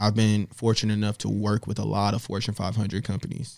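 The recording is very clean, with a silent background. A man speaks in a fairly low pitch with an American accent. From US South. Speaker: creative strategist. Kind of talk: casual interview.

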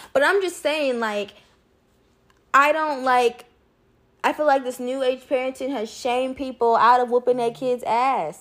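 A woman speaks at a high pitch with ordinary pitch variation. Her pace is fairly slow, with long, frequent pauses. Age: 20s. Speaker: podcast co-host. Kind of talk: casual chat.

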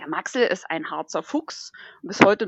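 A woman's fairly slow voice with very wide pitch swings, in a dry, close sound with no echo. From northern Thuringia, Germany. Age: 30s. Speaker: dog musher and hiker. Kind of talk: casual chat.

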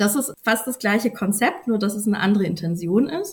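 A woman's somewhat breathy voice at medium pitch, with ordinary pitch variation and a moderate pace. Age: 30s. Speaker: journalist. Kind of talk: interview. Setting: podcast recording.

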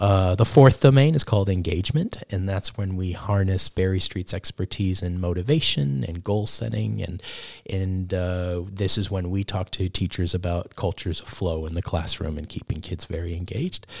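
Speaking in a New York accent, a man has a very deep, low pitch with ordinary pitch variation. He keeps a moderate pace with hardly any pauses. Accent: American (New York). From New York (the Bronx). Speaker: education director. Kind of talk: interview.

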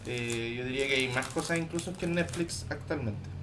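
With audible room echo, this bright, sharp-toned voice moves at a fairly slow pace with ordinary pitch variation. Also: man. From Chile, Temuco area. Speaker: podcast co-host. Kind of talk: casual chat.

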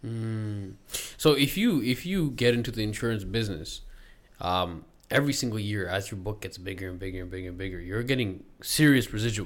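A man's ordinary speaking voice, with big swings in loudness, ordinary pitch variation and a fairly quick pace. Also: fairly low pitch for a man. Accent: Canadian. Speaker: podcast host. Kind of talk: casual podcast interview.

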